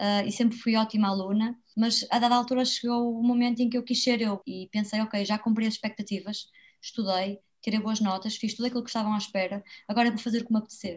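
A woman with a fairly high, somewhat breathy voice speaks at a very fast pace in a monotone, flat intonation. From Braga, northern Portugal. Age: 20s. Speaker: author and traveller. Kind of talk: interview.

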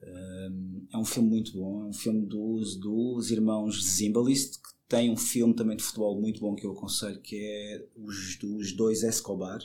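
Fairly low, dark, mellow male speech, fairly slow with hardly any pauses, monotone, flat intonation and big swings in loudness. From Madeira, Portugal. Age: 30s. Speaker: film festival organizer. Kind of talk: casual interview. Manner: halting, many repetitions.

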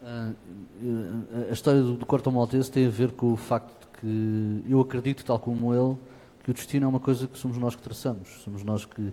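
Fairly quick, monotone speech from a man, dark and mellow in tone, flat in intonation. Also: medium pitch for a man. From Portugal, Lisbon area. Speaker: fado singer. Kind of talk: interview. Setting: auditorium with audience. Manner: halting.

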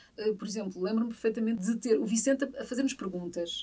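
A woman at a very fast pace and a high pitch. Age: 50s. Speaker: journalist. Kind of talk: interview testimony.

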